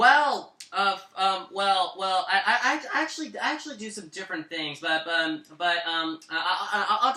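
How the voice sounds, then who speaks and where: Speaking with an American accent, a man uses a high pitch and lively intonation. Noticeable background noise runs underneath. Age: 20s. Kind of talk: interview. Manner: halting, heavy repetition.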